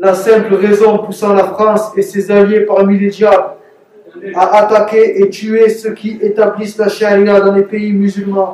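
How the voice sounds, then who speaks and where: A man with a strong Marseille accent, high-pitched, at a very slow pace with monotone, flat intonation. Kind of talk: read propaganda statement.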